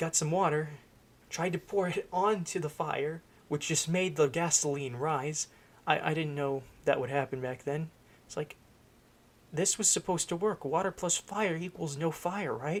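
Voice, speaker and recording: The man speaks quietly at a moderate pace. His pitch sits fairly high. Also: ordinary pitch variation. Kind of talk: casual storytime talk to camera. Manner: quiet, hushed.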